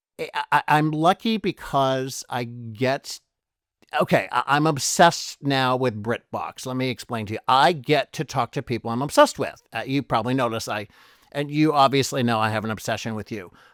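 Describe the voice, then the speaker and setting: An American-accented man in an animated tone, medium pitch and ordinary pitch variation, at a moderate pace on a very clean recording with a silent background. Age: 60s. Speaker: podcast host. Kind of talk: interview. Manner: halting.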